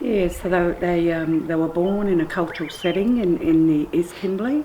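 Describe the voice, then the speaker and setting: A woman talks at a fairly slow pace with ordinary pitch variation. Noticeable background noise runs behind her. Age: 60s. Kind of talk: oral family history testimony.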